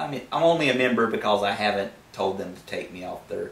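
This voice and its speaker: A man talks at a fairly quick pace with a Southern US accent. Audible room echo surrounds his voice. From US Deep South. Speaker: YouTube atheist commentator. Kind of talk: vlog monologue. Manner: casual, conversational.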